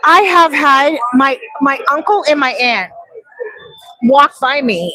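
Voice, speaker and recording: The voice is raised and projected, with an animated tone and lively intonation. Noticeable background noise runs underneath. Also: woman. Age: 50s. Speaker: vlogger and real estate agent. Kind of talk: casual chat. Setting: live stream.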